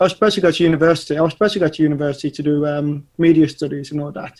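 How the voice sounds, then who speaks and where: Recorded very cleanly with a silent background, a man with an English accent speaks at a fairly high pitch. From English Midlands. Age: 30s. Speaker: animation studio owner. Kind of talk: casual interview. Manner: hesitant, many fillers.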